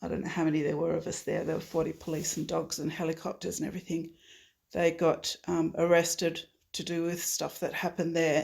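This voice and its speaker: A woman in an Australian accent, fairly low in pitch and monotone with flat intonation, on a very clean recording with a silent background. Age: 60s. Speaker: climate activist. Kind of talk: interview. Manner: halting, many fillers.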